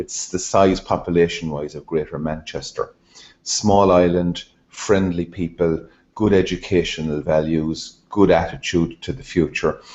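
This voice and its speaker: A man's very deep, low voice with an Irish accent, fairly even intonation and big swings in loudness. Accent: Irish, Hiberno-English. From Ireland. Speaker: Rotary training leader. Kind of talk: talk to a club. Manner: fast, described as machine gun English.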